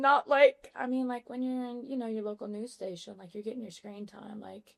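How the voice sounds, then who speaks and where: The speaker has a Louisiana accent and keeps a moderate pace. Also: woman. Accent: Southern US, Louisiana. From Louisiana, small town near Baton Rouge. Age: 20s. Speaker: podcast guest, former freight broker. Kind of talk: casual chat. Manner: animated.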